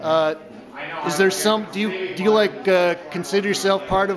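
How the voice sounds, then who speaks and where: Noticeable background noise sits under a man's high-pitched voice. He keeps a moderate pace and a monotone, flat intonation. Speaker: art video interviewer. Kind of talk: interview questions. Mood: friendly, casual. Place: hall. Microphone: phone near.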